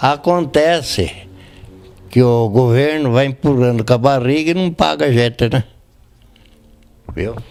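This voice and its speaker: Music plays behind a man speaking at medium pitch with lively intonation. He goes at a fairly slow pace, with long, frequent pauses. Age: 80s+. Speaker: retired railway worker. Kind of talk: interview.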